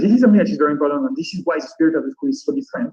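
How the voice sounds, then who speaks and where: His tone is dark and mellow. The man's pitch swings very widely. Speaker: design school representative. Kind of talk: presentation. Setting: video call. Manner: fast.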